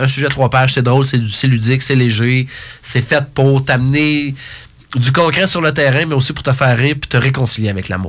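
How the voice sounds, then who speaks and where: A man's somewhat breathy voice at a medium pitch, racing along at a very fast pace. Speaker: speaker, coach and author. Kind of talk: interview. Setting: studio.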